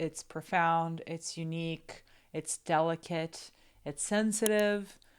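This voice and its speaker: With a Portuguese accent and fairly even intonation, the speaker talks at a fairly slow pace in a very clean recording with a silent background. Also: woman. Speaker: film commentator. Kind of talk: film analysis commentary.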